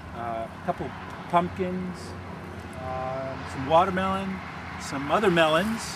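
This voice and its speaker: Noticeable background noise sits behind a man talking at a very slow pace. His fairly high pitch makes very wide swings. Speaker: farmer. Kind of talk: interview answer. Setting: outdoors. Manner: calm.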